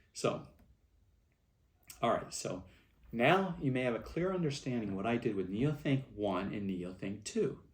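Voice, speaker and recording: A man talks at a moderate pace with a medium pitch and very wide pitch swings. There are long, frequent pauses and audible room echo. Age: 60s. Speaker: movement founder giving a speech. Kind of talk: recorded speech to event attendees. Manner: halting, with many fillers.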